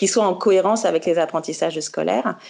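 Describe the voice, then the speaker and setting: Speaking at a fairly quick pace, the woman's voice sits fairly low in pitch. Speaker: founder of a parenting magazine website, speaker at conference. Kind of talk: conference talk. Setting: video conference. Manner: fast.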